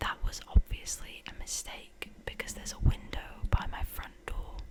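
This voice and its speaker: Whispering at a moderate pace, a woman's loudness swings widely against noticeable background noise. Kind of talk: ASMR story reading of scary Reddit stories to camera.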